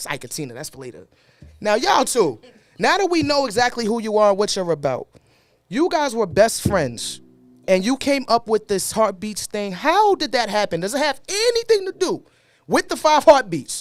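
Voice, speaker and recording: Music plays behind a man with a Brooklyn accent who speaks at a moderate pace in a high voice. His tone is animated, with very wide pitch swings and big swings in loudness. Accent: Brooklyn New York. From New York, Brooklyn. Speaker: podcast co-host. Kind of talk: casual chat.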